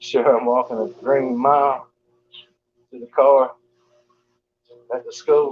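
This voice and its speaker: A man with a Southern US accent talks at a fairly slow pace in a monotone, flat intonation, with long, frequent pauses and big swings in loudness. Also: medium pitch for a man. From US South, Georgia. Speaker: live streamer. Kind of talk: casual chat. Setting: live stream while walking on treadmill.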